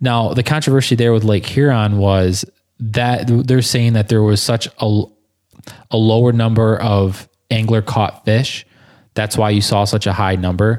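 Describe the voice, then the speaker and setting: A man with an American accent and a plain, everyday voice speaks at a fairly slow pace and medium pitch, with very even loudness and fairly even intonation, in a very clean recording with a silent background. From southern Michigan. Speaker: podcast host. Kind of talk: casual chat.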